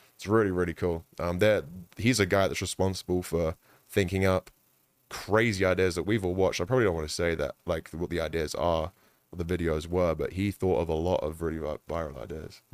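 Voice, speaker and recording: In a London accent, a man speaks at a fairly quick pace with a very deep, low pitch and fairly even intonation. The sound is dry and close with no echo, a very clean recording with a silent background. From London, England. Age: 20s. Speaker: esports content creator and amateur boxer. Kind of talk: casual chat.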